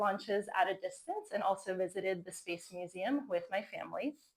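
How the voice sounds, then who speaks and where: A woman's medium-pitched, unremarkable speaking voice with an American accent, at a moderate pace with ordinary pitch variation. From US, Florida. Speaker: fusion energy entrepreneur. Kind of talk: conference talk.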